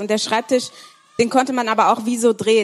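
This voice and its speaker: Amid noticeable background noise, a woman talks at a fairly high pitch with fairly even intonation. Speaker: conference participant. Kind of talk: prophetic word.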